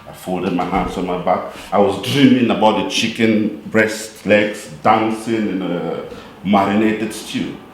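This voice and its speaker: A man talks at a fairly slow pace. Noticeable background noise and audible room echo fill the recording. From Cameroon. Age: 40s. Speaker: poet. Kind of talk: storytelling; poetry reading.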